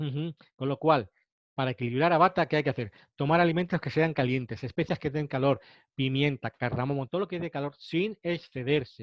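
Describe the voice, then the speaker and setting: At a fairly quick pace, a man speaks in a fairly high pitch with ordinary pitch variation. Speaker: naturopath and nutritionist lecturer. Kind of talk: webinar lecture. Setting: online webinar. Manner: fast.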